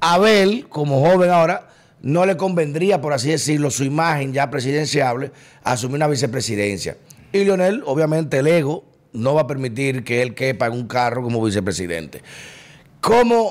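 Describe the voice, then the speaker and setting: A man speaks in a normal speaking voice at a fairly high pitch. His pace is fairly quick and his intonation lively. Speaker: podcast host. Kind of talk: political interview. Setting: studio.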